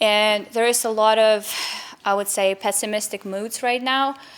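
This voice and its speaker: A woman with a Ukrainian accent speaks in a fairly high pitch with fairly even intonation. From Ukraine. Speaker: member of a Ukraine support organization. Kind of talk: interview. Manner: halting, with fillers.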